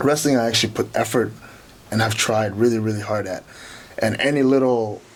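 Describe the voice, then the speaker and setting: A man at a fairly quick pace, fairly even in intonation, over noticeable background noise. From Kenya, East Africa. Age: 20s. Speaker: professional wrestler. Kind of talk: interview. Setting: studio.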